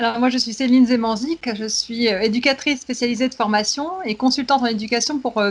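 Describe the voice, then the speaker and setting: Noticeable background noise sits behind a woman speaking at a fairly quick pace. Her voice is fairly high, with ordinary pitch variation. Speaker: education consultant, specialized educator. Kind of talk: casual expert discussion. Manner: fast.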